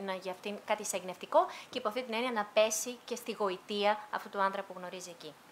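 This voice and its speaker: A woman talks at a very fast pace with lively intonation and a fairly high pitch. Noticeable background noise sits behind her. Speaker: interpreter. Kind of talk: consecutive interpreting of an author interview, book presentation.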